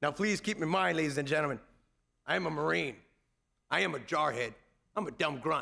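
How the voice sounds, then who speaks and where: Speaking with an American accent, a man uses a fairly high pitch, lively intonation and a bright, sharp, confident tone with vocal fry. His loudness stays very even, and he pauses long and often. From United States. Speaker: Marine Corps first sergeant and former drill instructor. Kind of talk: Veterans Day ceremony speech to an audience. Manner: confident, commanding, humorous.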